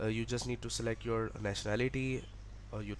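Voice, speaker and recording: A man speaks at a fairly quick pace with a Pakistani accent, captured on a very clean recording with a silent background. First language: Urdu. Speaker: education vlogger. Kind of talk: tutorial. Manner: halting.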